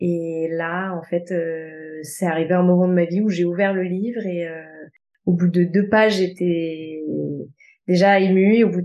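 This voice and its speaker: A woman is speaking. Her pace is moderate. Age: 20s. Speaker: osteopath. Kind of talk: testimony. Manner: hesitant, with fillers.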